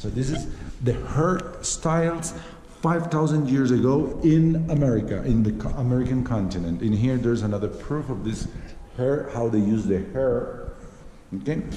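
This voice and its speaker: With a Spanish accent, a man of medium pitch speaks at a moderate pace with lively intonation, amid audible room echo and noticeable background noise. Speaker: travel vlogger. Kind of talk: vlog tour explanation. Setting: inside a museum. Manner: halting, many fillers.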